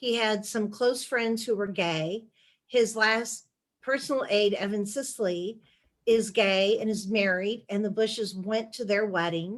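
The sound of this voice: The pace is fairly slow, with ordinary pitch variation. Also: woman, medium pitch for a woman.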